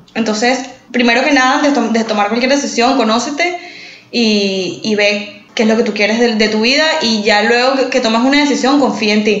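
Against noticeable background noise and audible room echo, a woman speaks at a fairly high pitch with very even loudness. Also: ordinary pitch variation, moderate pace. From Venezuela, San Antonio (small town). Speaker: podcast co-host. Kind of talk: casual chat.

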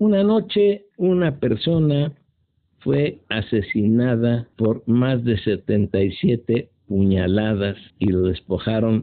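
Speaking at a very slow pace, a man with a medium-pitched voice uses lively intonation while keeping his loudness very even. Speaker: retired justice system official recounting crime cases. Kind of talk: unscripted storytelling monologue. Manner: halting, with frequent fillers.

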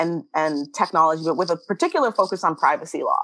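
Speaking at a very fast pace with lively intonation, a woman talks with a Canadian accent in a dry, close sound with no echo. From Canada, Toronto. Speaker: tech justice director and MBA student. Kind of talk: interview. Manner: animated.

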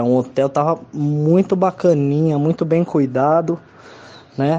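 Noticeable background noise beneath a man's fairly high voice, ordinary in its pitch variation. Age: 20s. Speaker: psychologist and musician. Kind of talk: testimony.

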